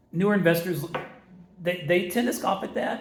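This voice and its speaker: Room echo can be heard. A man speaks at a fairly quick pace. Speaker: real estate investor. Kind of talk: tutorial. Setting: office, big concrete room. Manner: fast. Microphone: echo in a bare room.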